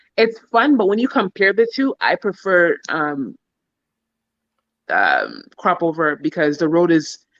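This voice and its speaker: A woman at a fairly slow pace, with long, frequent pauses, very wide pitch swings, and a dry, close sound with no echo. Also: medium pitch for a woman. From Toronto, Canada. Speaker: relocation guest. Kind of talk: casual interview chat. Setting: live stream video call.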